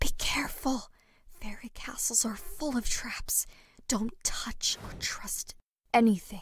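A female-sounding put-on character voice, raspy and fairly high-pitched, moves at a fairly slow pace with long, frequent pauses. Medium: cartoon. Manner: matter-of-fact, cheeky, threatening.

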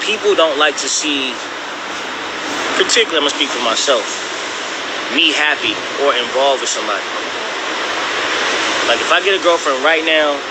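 Against loud background noise, a man talks at a fairly quick pace with ordinary pitch variation. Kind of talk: casual livestream chat. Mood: relaxed, candid. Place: street. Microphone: phone near.

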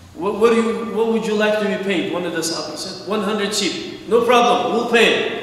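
With strong room echo around him, a man speaks at a high pitch. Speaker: preacher. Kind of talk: sermon. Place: church.

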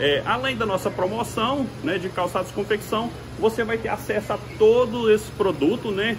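A man with a high-pitched voice talks in an upbeat tone at a moderate pace, with ordinary pitch variation. Background noise can be clearly heard. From Brazil. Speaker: store owner or salesman pitching shop promotion. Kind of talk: retail sales pitch, walking tour of the store promoting a sale. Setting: inside a store, filming a walkthrough of sections. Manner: repetitive, promotional, slightly hesitant with stumbles. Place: shop. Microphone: phone near.

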